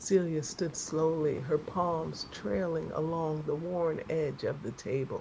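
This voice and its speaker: A woman's very deep, low voice, calm in tone and very slow, over noticeable background noise. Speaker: self-love coach. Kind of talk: sleep story. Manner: slow, calm.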